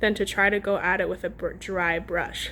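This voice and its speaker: Her pace is moderate and her voice sits at a medium pitch for a woman. It is a plain, everyday voice with fairly even intonation. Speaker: pottery painting instructor. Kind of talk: tutorial. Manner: casual, filler-heavy.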